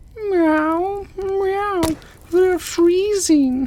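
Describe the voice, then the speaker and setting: A put-on character voice comes out extremely high-pitched and squeaky. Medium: read story.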